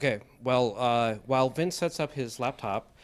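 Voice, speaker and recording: At a moderate pace, a man speaks in an ordinary speaking voice with ordinary pitch variation. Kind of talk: introductory remarks. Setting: seminar room.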